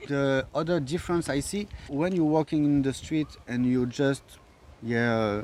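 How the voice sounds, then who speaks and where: A man with a French accent talks at a fairly slow pace in a fairly high pitch, with ordinary pitch variation. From France, Paris. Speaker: visitor to the island. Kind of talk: casual chat. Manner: halting.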